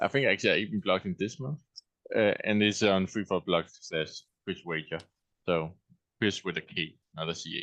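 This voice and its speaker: A man with a Danish accent, fairly low pitch, ordinary pitch variation, a moderate pace, and long, frequent pauses. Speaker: blogger. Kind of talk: panel discussion. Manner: halting.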